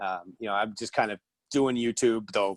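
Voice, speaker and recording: With an ordinary speaking voice, a man talks at a moderate pace and medium pitch, his pitch varying in an ordinary way, over a quiet background in a dry, close sound with no echo. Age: 50s. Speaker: podcast host. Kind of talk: casual chat. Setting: video call.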